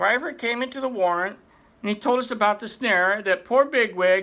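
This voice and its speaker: The speaker performs a put-on character voice at a fairly high pitch and a moderate pace. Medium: read story. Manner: nervous, hesitant.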